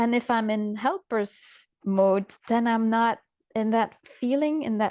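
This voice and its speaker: In a non-native accent, a woman with a fairly high pitch speaks at a very slow pace in a dry, close sound with no echo. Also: quiet background. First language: not English. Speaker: coach, call participant. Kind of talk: casual chat. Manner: halting.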